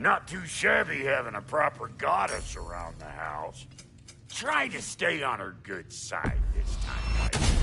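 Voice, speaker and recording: A put-on character voice from a man at a fairly slow pace, with clear background noise. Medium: video game. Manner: brash, sarcastic.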